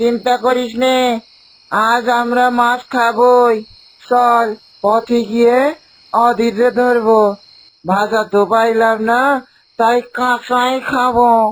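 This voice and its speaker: A cartoonish character voice, fairly high in pitch, with monotone, flat intonation at a very slow pace. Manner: sly, gleeful.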